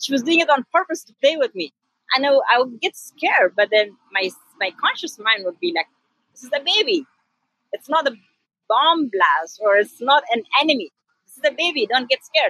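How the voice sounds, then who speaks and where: Projecting a raised voice with a bright, sharp tone, a woman speaks at a moderate pace and high pitch, with very wide pitch swings and big swings in loudness. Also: dry, close sound with no echo. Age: 30s. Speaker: health coach. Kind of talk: interview.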